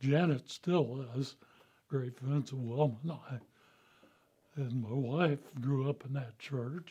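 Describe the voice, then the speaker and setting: A man with a Midwestern American accent, fairly high in pitch yet dark and mellow in tone, somewhat breathy, very slow, with ordinary pitch variation. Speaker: church member, veteran. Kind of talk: personal testimony.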